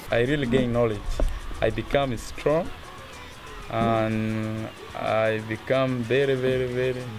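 Over clear music in the background, a man speaks at a fairly slow pace in a monotone, flat voice with long, frequent pauses. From South Sudan. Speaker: refugee footballer and youth leader. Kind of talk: interview answer. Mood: proud, hopeful. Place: open country.

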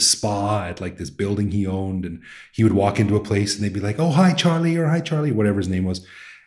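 A man with a Canadian accent speaks at a very fast pace with lively intonation. His fairly low voice has a dark, mellow tone and is somewhat breathy. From Canada. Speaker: podcast host. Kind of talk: podcast interview conversation.

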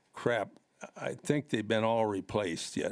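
A man with an Upper Midwest accent at a fairly slow pace. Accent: Upper Midwest American. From Watertown, South Dakota (US Midwest). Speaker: resident at public comment. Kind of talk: public comment. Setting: city council meeting. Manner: halting.

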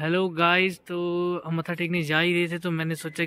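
At a moderate pace, a man with a high pitch and a bright, sharp tone speaks in a dry sound with no echo. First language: Punjabi (speaking Hindi). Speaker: vlogger. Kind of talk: casual travel vlog narration. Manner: casual and chatty. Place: open country. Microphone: phone near.

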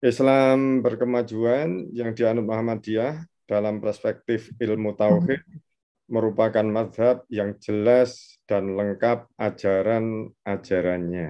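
The background is quiet behind this man. He speaks very slowly with ordinary pitch variation. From Indonesia. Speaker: Islamic studies lecturer. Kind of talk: lecture. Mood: warm, smiling explanation. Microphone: video call.

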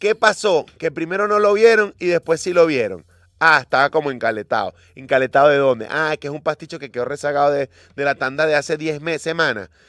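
A man's lively, animated voice at a fairly high pitch and fairly quick pace, dry with no echo against a quiet background. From Venezuela. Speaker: radio host. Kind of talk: morning radio show chat. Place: studio. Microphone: studio mic.

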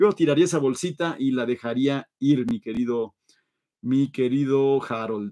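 A man talks with an animated tone and lively intonation. The background is quiet. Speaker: live show host, toy car collector; live show host. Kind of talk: livestream chat reading viewer comments. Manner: fast. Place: home room.

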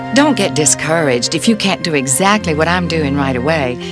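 This woman speaks with a Southern US accent. Noticeable background noise runs behind her. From Southern United States. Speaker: yoga instructor. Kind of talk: casual talk to camera, video introduction. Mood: warm, relaxed, gently humorous. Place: home room. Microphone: lapel.

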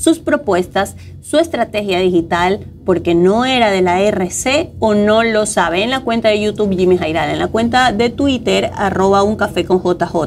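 At a fairly slow pace with hardly any pauses, a woman speaks with lively intonation over light background noise. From Ecuador. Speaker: co-host. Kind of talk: news discussion show. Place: studio. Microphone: lapel.

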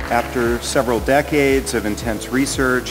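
A man's voice over clear music in the background. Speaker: conference speaker. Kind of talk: lecture. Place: hall. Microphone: podium.

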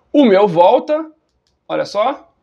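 A man with a high pitch sounds animated, his intonation lively. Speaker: running YouTuber. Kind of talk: product review.

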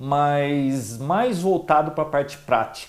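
A man talks here. His pace is very slow. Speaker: tech channel host. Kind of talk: casual vlog chat. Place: home room. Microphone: lapel.

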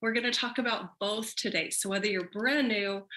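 Bright and sharp in tone, a woman speaks upbeat at a moderate pace with a fairly high pitch. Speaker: network marketing leader; business trainer. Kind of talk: training presentation. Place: home room. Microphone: webcam.

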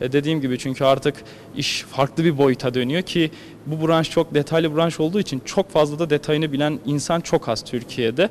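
A moderate pace and fairly even intonation, with light background noise. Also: man, fairly high pitch for a man. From Turkey, Erzurum; Turkey. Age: 20s. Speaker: ski jumper. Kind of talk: interview. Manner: hesitant, many filler sounds. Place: gym. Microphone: handheld.

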